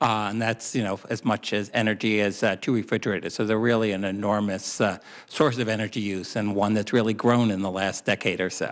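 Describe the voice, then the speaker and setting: In a very clean recording with a silent background, a man talks at a moderate pace in a medium pitch with monotone, flat intonation. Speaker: expert witness testifying at the hearing. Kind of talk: Senate committee hearing answers.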